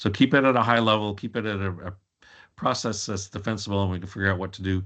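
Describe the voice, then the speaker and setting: Very fast speech from a man with a fairly low pitch and fairly even intonation. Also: quiet background. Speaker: information governance consultant. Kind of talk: webinar presentation. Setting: webinar.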